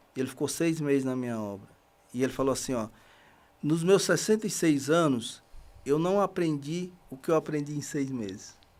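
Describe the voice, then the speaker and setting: A man's fairly high voice moves at a moderate pace, his intonation lively. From Bahia backlands, northeastern Brazil. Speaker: construction worker and reading project founder. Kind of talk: podcast interview. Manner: halting, with frequent fillers.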